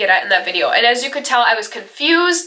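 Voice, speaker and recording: Amid noticeable background noise and audible room echo, a woman speaks. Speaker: beauty and lifestyle vlogger. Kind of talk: personal vlog, heart-to-heart. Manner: casual, hesitant.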